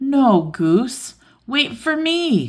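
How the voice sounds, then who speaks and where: A woman puts on a character voice, pitched high, with very wide swings up and down. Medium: read story.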